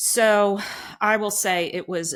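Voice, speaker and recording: A woman with an American accent and ordinary pitch variation, on a very clean recording with a silent background. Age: 60s. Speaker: eye doctor and diet advocate. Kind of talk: interview testimony. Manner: halting.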